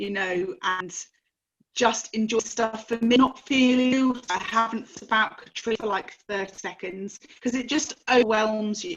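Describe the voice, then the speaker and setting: Slowly, at a fairly slow pace, a woman with an English accent speaks at a fairly high pitch. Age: 40s. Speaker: sibling of a missing person. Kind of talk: interview testimony. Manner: loud.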